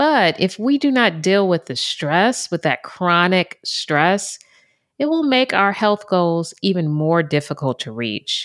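The voice moves at a fairly slow pace with very wide pitch swings. The recording is very clean with a silent background. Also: woman. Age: 50s. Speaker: wellness podcast host. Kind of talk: solo podcast monologue. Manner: conversational.

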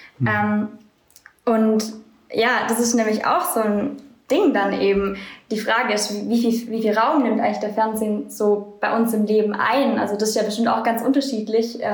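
A woman speaks at a fairly high pitch and a moderate pace. Her loudness stays very even, and the recording has audible room echo. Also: fairly even intonation. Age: 20s. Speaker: social work student. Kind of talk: casual chat.

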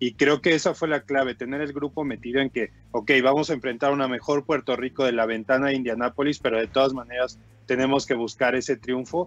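A man with a Mexican accent talks at a fairly quick pace with hardly any pauses. His pitch is medium and his intonation fairly even. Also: dry, close sound with no echo. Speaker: basketball commentator. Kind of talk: sports talk show. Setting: remote connection.

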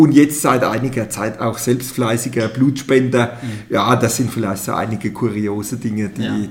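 A man talks at a moderate pace, and his voice is somewhat breathy. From Palatinate, Germany (Pirmasens). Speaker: mayor. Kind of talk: interview. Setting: studio.

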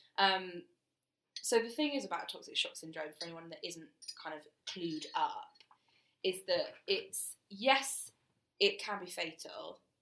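A woman with a British accent at a fairly slow pace, broken by long, frequent pauses. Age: 20s. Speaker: podcast co-host. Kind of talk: casual chat. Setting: studio, recording in person.

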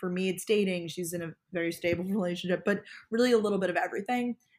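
A woman with an American accent speaks in an ordinary speaking voice, her pitch fairly low and varying in an ordinary way. The recording is very clean with a silent background. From Long Island, New York. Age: 20s. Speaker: lifestyle vlogger and podcast co-host. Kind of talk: casual interview chat.

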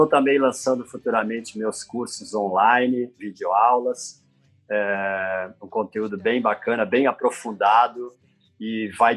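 Over music in the background, a man talks fairly slowly at medium pitch with fairly even intonation. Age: 60s. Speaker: surf photographer. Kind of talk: interview.

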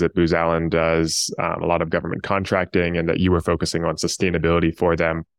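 Against a quiet background with a dry, close sound and no echo, a man talks fairly quickly in a very deep, low pitch. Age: young. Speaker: podcast host, sustainability consultant. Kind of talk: interview.

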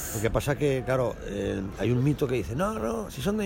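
A man's voice with very wide pitch swings. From Spain, Aragon (Calatayud near Zaragoza). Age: 40s. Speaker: aspiring comedian. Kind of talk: casual interview.

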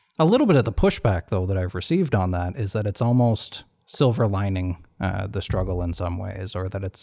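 A man speaks fairly quickly at a fairly low pitch, somewhat breathy, with a dark, mellow tone. The recording is very clean, its background silent. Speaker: podcast host. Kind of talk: casual interview; scripted outro. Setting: guest's home. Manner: halting, many fillers.

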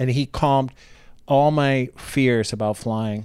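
Recorded very cleanly against a silent background, a man speaks with an American accent. His unremarkable speaking voice sits at medium pitch with fairly even intonation. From Ohio, US Midwest. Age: 50s. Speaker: comedian. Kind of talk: casual chat.

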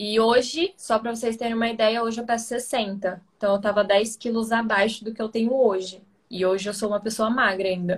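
Her voice fairly high and somewhat breathy, a woman speaks at a fairly quick pace. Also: fairly even intonation, hardly any pauses. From Brazil, interior of São Paulo state (Ribeirão Preto). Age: 20s. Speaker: ballet dancer. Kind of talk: casual chat on a live stream.

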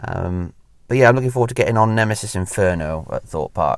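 On a very clean recording with a silent background, a man with a Welsh accent talks fairly quickly with ordinary pitch variation. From Wales. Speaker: podcast host, theme park enthusiast. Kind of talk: casual solo monologue. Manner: hesitant, many fillers.

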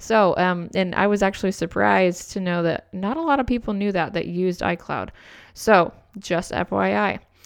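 A woman speaks in a plain, everyday voice at medium pitch and a moderate pace, with fairly even intonation over a quiet background. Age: 20s. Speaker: podcast co-host, photographer. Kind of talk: casual chat.

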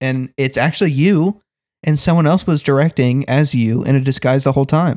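A man with a normal speaking voice talks at a moderate pace in a medium pitch with ordinary pitch variation, recorded very cleanly against a silent background with a dry, close sound and no echo. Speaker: guest co-host on a comedy podcast. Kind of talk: casual comedic banter.

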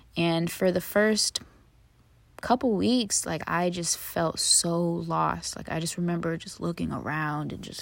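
Spoken at a fairly slow pace with an American accent, the voice rises and falls greatly in loudness. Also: woman. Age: 20s. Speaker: podcast host. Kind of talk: casual monologue.

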